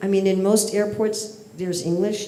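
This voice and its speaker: In an audible room echo, a woman speaks at a moderate pace with an American accent. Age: old. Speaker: spiritual teacher. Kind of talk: lecture.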